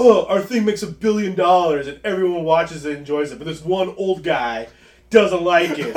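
Using a put-on character voice, a man speaks with high pitch and a whiny edge. His pace is moderate. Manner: mocking, whiny, sarcastic.

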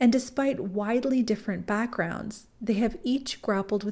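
A woman speaks at a medium pitch, her tone dark and mellow. Her voice is somewhat breathy. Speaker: podcast host. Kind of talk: scripted narration.

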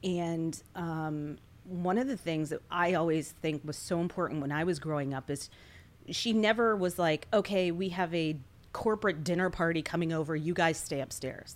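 In a very clean recording with a silent background, a woman with an ordinary speaking voice and an American accent talks at a moderate pace and a fairly low pitch. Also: ordinary pitch variation. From US Mid-Atlantic, Washington D.C. area. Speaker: former news anchor, military spouse, nonprofit relief worker. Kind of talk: casual interview.

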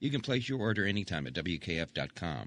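A man with a plain, everyday voice speaks at a fairly quick pace and a fairly low pitch, with lively intonation. The sound is dry and close with no echo, over a quiet background. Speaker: radio newsreader. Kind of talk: news reading. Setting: studio.

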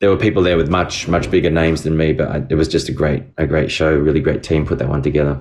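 In a very deep, low voice, a man speaks very fast with hardly any pauses and very even loudness. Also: ordinary pitch variation. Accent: Australian. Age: 40s. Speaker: video game voice actor. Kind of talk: interview.

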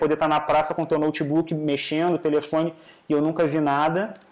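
A man with a fairly high pitch, talking at a fairly quick pace. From Rio de Janeiro, Brazil. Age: 20s. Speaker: master's student in actuarial science. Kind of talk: casual interview.

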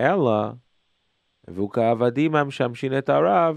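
A medium-pitched man with an Israeli accent at a fairly slow pace, against a quiet background. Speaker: radio host and parenting lecturer. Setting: phone call with listener, on visit in New York. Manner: warm, chatty, enthusiastic, with hesitant non-native phrasing.

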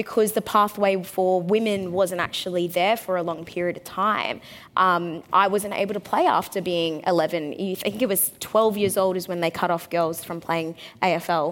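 A woman with an Australian accent, medium pitch, moderate pace and fairly even intonation. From Australia (Brisbane). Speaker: panel moderator, former AFL player. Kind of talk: panel talk before live audience. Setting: stage with audience.

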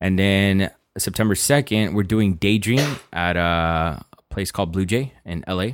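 Speaking with a Southern California accent, a man uses a very deep, low pitch with ordinary variation. He talks at a fairly slow pace in a very clean recording with a silent background. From Los Angeles, South Central. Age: 20s. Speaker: house DJ and producer. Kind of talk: casual interview chat.

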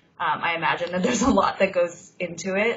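Over noticeable background noise, a woman speaks at a fairly quick pace with a medium pitch. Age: 30s. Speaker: podcast host, freelance journalist. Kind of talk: casual interview chat. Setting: Skype call. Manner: animated.

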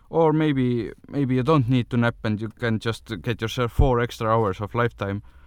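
A man with a non-native accent speaks at a moderate pace, hardly pausing, in a medium-pitched voice with ordinary pitch variation. The background is quiet. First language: not English. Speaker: podcast host. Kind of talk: solo monologue on wellness tips. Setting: in a car. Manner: halting, many fillers.

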